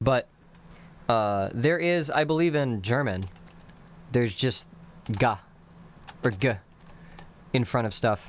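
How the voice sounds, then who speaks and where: With an American accent, a man at a medium pitch uses lively intonation and very even loudness, leaving long, frequent pauses. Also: fairly slow pace. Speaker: live streamer teaching a constructed language. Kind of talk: casual live-stream lesson. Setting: live stream with chat. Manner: casual, hesitant with many fillers.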